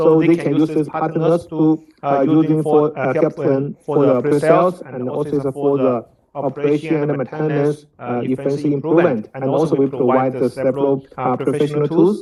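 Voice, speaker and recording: This man speaks with a Chinese accent in a fairly high voice with fairly even intonation. His pace is moderate, with hardly any pauses. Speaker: product presenter. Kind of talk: technical presentation. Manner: halting, many fillers.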